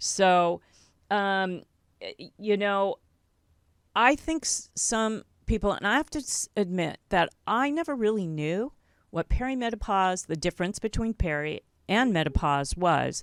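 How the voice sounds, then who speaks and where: On a very clean recording with a silent background and a dry, close sound with no echo, a woman at medium pitch talks at a fairly slow pace with very wide pitch swings. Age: 60s. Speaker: podcast host and health coach. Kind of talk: interview.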